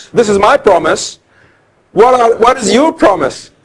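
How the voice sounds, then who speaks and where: Lively in his intonation, a man talks at a moderate pace. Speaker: law lecturer. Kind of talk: lecture. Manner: loud.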